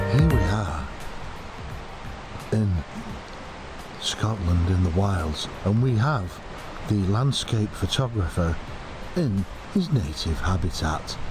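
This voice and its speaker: Over background music and audible room echo, a man with a very deep, low voice speaks very slowly, with long, frequent pauses. His intonation is lively while his loudness stays very even. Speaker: landscape photographer vlogger. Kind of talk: casual vlog chat; mock nature documentary narration. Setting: outdoors.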